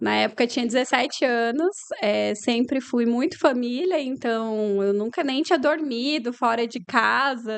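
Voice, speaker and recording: A woman with a Paraná accent, fairly high in pitch, at a moderate pace against a quiet background. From Paraná, Brazil (Umuarama, interior). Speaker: lawyer and business owner. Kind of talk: interview conversation.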